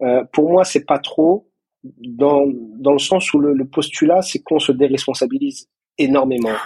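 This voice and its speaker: Talking at a fairly slow pace, a man has a fairly high pitch and a dark, mellow tone. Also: ordinary pitch variation. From Moroccan heritage. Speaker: psychologist and couples therapist. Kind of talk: interview. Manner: halting, repeats words.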